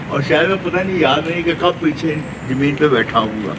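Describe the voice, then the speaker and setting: With noticeable background noise and audible room echo, a man speaks at a fairly high pitch with ordinary pitch variation. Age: 80s+. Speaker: yoga class participant. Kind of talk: testimony.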